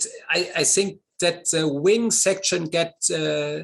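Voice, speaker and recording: Speaking in a German accent, a man uses a high pitch and a very slow pace. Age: 50s. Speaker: model glider pilot and designer. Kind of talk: interview. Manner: halting.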